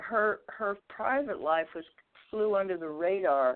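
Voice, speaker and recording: At a fairly slow pace, a woman with an American accent and a fairly low pitch talks in a normal speaking voice. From Los Angeles. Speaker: jazz singer. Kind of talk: interview.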